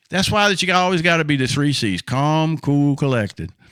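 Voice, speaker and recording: A man speaks in a bright, sharp, animated tone. The recording is very clean, with a silent background. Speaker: motivational speaker and trainer. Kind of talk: training talk to camera.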